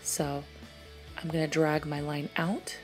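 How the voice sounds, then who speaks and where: A woman is soft-spoken. Music plays in the background. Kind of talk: makeup tutorial voice-over.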